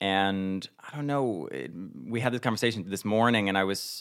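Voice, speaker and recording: An American-accented man with a very deep, low voice at a fairly quick pace. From northern New Jersey. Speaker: theater director. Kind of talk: casual chat.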